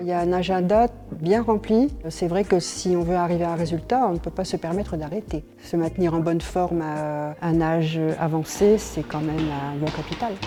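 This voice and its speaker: Noticeable background noise sits behind a woman with a fairly low voice. She speaks at a moderate pace with ordinary pitch variation. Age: 70s. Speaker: masters athlete. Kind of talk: interview testimony.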